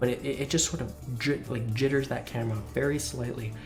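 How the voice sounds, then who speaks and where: Music plays in the background as the speaker talks in an enthusiastic tone at a moderate pace. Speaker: gaming video creator. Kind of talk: casual talk to camera.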